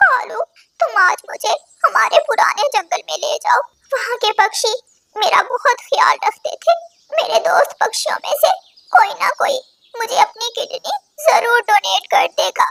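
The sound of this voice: A woman uses a cartoonish character voice with an extremely high pitch. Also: fairly slow pace.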